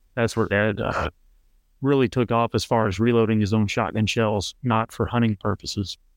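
With a Texan accent, a man talks at a moderate pace in a flat monotone with very even loudness, sounding dry and close with no echo. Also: medium pitch for a man, very clean recording, silent background. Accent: Texan American. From Central Texas. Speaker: competitive trap shooter. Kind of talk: casual interview.

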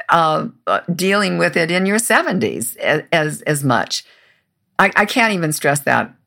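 A woman speaks at a fairly slow pace in a fairly low pitch, her tone bright and sharp, with lively intonation and vocal fry, on a very clean recording with a silent background. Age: 70s. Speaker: radio and TV producer and host. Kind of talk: interview. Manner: halting, frequent repetitions.

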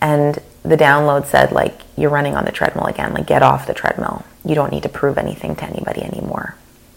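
Very fast talk from a woman, with noticeable background noise behind it. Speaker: podcast host and business coach. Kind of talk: solo podcast monologue. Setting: recorded podcast.

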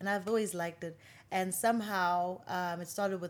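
The background is silent in this very clean recording. A woman talks at a fairly quick pace. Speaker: musician and TV presenter. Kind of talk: casual interview conversation. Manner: animated, playful.

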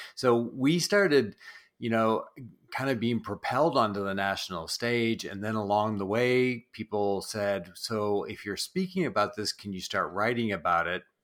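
A man at a moderate pace, in a very clean recording with a silent background. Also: medium pitch for a man, ordinary pitch variation. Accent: slight Canadian Maritime. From New Brunswick, East Coast Canada. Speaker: church branding specialist and author. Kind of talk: interview.

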